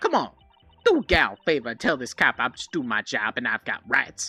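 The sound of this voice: Over music in the background, a man puts on a character voice with a Southern accent. His pitch is medium, his pace fairly quick, and his loudness swings widely.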